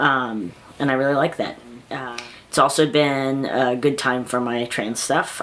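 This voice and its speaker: Noticeable background noise is present. Through it, a man talks at a moderate pace. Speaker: vlogger. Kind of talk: casual vlog monologue. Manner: halting, many fillers.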